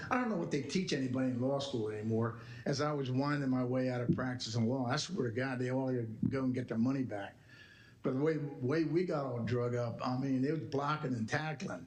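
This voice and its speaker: In a room with audible echo, a man speaks at a fairly quick pace in a medium, somewhat breathy voice with ordinary pitch variation. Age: 80s+. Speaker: retired attorney. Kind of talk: public talk at board meeting. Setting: board meeting. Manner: emphatic.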